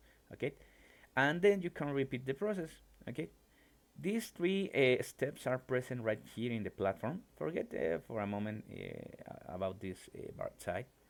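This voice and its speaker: Speaking at a moderate pace with a Mexican accent, the man keeps a medium pitch but swings it very widely. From Mexico. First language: Spanish. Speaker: mathematics professor and programming teacher. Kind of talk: live-streamed lecture. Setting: live stream. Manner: halting, many fillers.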